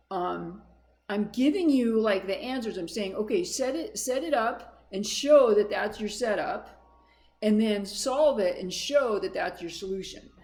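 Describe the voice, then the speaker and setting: A woman's fairly high voice at a fairly slow pace, with lively intonation and audible room echo. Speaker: math instructor. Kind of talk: lecture.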